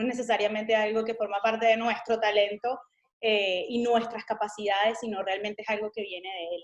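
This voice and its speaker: Her Venezuelan accent comes through at a fairly quick pace. The woman's pitch is fairly high, and her intonation is monotone and flat. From Venezuela, Caracas. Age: 30s. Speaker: missionary. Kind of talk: interview testimony.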